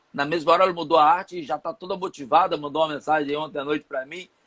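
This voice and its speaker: A man's fairly high voice at a very fast pace, in a dry, close sound with no echo. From Rio de Janeiro, São Gonçalo. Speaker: entrepreneur and marketing consultant. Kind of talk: interview, live online chat.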